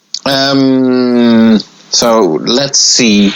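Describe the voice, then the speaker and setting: A man speaks with a non-native accent. Noticeable background noise runs under his voice. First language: not English. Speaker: pinball magazine editor. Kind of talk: casual chat. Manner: halting.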